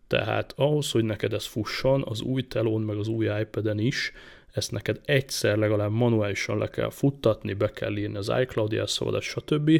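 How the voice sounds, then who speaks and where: In a very clean recording with a silent background, an unremarkable speaking voice talks at a moderate pace with fairly even intonation. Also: man, fairly low pitch for a man. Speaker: tech podcast host. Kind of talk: casual tech chat.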